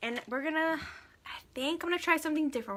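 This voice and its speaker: With an American accent, a woman speaks in a bright, sharp tone with ordinary pitch variation. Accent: Texas twang, comes out now and then. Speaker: makeup vlogger. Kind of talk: makeup tutorial livestream. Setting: Facebook live stream. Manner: animated, chatty.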